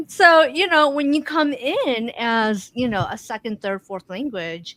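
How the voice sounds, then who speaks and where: A woman with a non-native accent speaks fairly slowly in a high pitch, with very wide pitch swings and big swings in loudness. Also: dry, close sound with no echo. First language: not English. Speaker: podcast co-host. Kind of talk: casual conversation.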